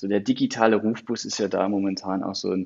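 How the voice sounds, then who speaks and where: The delivery moves at a fairly quick pace in a monotone, flat intonation. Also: man. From Saarland, Germany. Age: 30s. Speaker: county digital officer. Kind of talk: interview. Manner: hesitant, many fillers.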